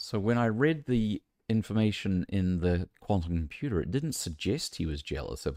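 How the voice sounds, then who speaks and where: In a New Zealand accent, a man with a very deep, low pitch and a dark, mellow tone speaks at a moderate pace with very wide pitch swings, the sound dry and close with no echo on a very clean recording over a silent background. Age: 50s. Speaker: gaming streamer. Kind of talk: live game stream commentary.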